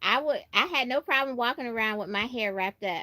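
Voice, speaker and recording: An animated, bright and sharp voice with an American accent, lively intonation and a fairly quick pace, in a dry, close sound with no echo. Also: woman. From New York, Brooklyn. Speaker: YouTuber. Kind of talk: casual livestream chat.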